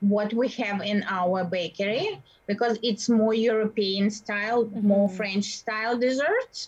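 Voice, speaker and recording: Somewhat breathy and fairly high in pitch, a woman speaks with fairly even intonation in a Russian accent. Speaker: baker and bakery owner. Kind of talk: interview. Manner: halting.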